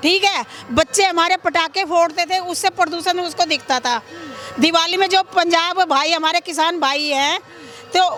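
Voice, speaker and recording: A woman projects a raised voice at an extremely high pitch with fairly even intonation. Noticeable background noise is present. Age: 60s. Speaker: vox pop interviewee. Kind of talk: street interview.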